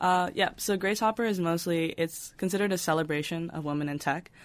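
A woman with an unremarkable speaking voice talks with an American accent, at a fairly low pitch and a fairly quick pace. Her intonation is fairly even, and the recording is very clean with a silent background. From New York. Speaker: computer science student. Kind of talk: interview.

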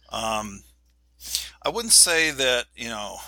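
A man with an American accent. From New York City. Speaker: leadership professor. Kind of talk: interview conversation.

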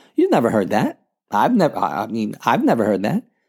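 A man talks at a very fast pace. The recording is very clean with a silent background. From New York, the Bronx. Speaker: podcast host. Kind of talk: solo podcast monologue.

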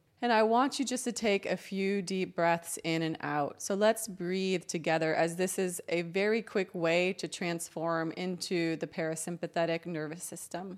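A woman with a fairly low pitch and ordinary pitch variation talks with hardly any pauses in a normal speaking voice, on a very clean recording with a silent background. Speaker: meditation host and energy healer. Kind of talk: guided meditation. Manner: soothing, slow, calm and gentle.

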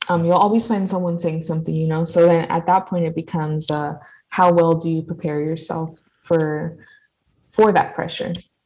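Somewhat breathy voice with an American accent, fairly even intonation and a moderate pace. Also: woman, fairly low pitch for a woman. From California and Mexico (Jalisco family). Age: 20s. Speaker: student, podcast guest. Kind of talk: casual chat.

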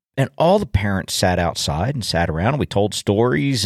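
On a very clean recording with a silent background and a dry, close sound with no echo, a man with a plain, everyday voice speaks at a moderate pace in a fairly low pitch with lively intonation. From US, suburban. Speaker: podcast host, farmer. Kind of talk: casual solo monologue.

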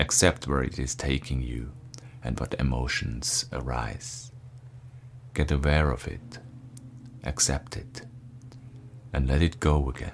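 A man's calm, soothing voice at a very deep, low pitch, with fairly even intonation, a fairly slow pace, long, frequent pauses and noticeable background noise. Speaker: breathwork teacher. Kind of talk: guided meditation. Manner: slow, calm, soothing; soft-spoken, with long pauses between cues.

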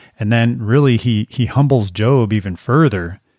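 In a very clean recording with a silent background, a man with a normal speaking voice speaks in a fairly low pitch with ordinary pitch variation. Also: dry, close sound with no echo. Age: 50s. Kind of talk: casual religious chat.

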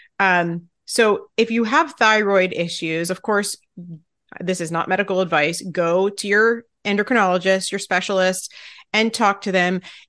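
Against a quiet background, an unremarkable speaking voice keeps a moderate pace, its pitch varying in an ordinary way. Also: woman, medium pitch for a woman. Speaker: podcast host and fasting coach. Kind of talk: casual interview chat.

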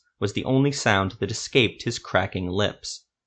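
Someone reads the text aloud, using a natural voice.

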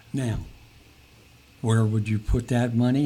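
This man's voice sits at medium pitch and is somewhat breathy. He talks at a fairly quick pace with ordinary pitch variation. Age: 70s. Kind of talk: casual interview.

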